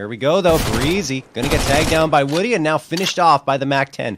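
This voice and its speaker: A man with a fairly high pitch and lively intonation, talking at a very fast pace over noticeable background noise. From Canada. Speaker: esports caster. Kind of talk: live commentary.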